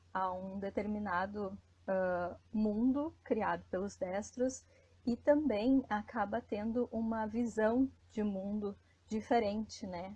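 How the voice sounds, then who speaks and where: At a very slow pace, a woman speaks at a medium pitch, somewhat breathy, with fairly even intonation. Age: 30s. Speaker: life coach and women's trainer. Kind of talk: live stream talk. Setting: Instagram live broadcast.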